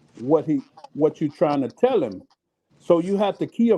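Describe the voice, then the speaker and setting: A high-pitched man's voice, dark and mellow in tone, at a moderate pace. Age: 60s. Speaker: livestream panel guest. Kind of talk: casual chat.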